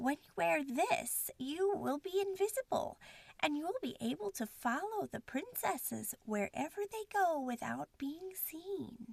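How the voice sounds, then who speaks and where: In a put-on character voice, a woman speaks high-pitched and fairly slowly, with very wide pitch swings and big swings in loudness, in a dry, close sound with no echo. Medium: read story.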